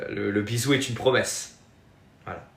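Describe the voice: A fairly bright tone with vocal fry in a Marseille accent, moderate in pace and fairly even in intonation. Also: man, fairly low pitch for a man. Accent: southern French, Marseille.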